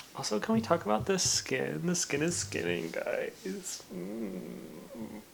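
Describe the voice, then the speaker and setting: Over noticeable background noise, a man speaks quietly at a very slow pace with hardly any pauses. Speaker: booktuber / reading vlogger. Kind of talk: casual vlog. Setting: in bed at night.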